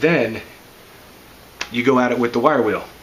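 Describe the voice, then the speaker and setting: With audible room echo and noticeable background noise, a man speaks at medium pitch with fairly even intonation. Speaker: car hobbyist making a DIY video. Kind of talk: tutorial.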